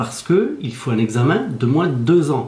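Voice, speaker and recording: A somewhat breathy voice with a dark, mellow tone speaks at a fairly slow pace, with audible room echo. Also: man. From Belgium. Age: 60s. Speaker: Belgian resident seeking French citizenship. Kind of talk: news interview.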